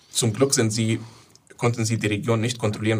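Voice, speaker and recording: A man with an Arabic accent speaks at a very fast pace. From southern Syria. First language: Arabic (speaking German). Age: 20s. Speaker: Syrian refugee activist. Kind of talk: interview. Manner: halting.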